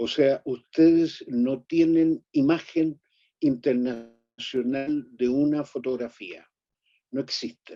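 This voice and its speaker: A dark, mellow tone moves at a very slow pace with fairly even intonation. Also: man, fairly high pitch for a man. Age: 80s+. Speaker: photographer. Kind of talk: lecture.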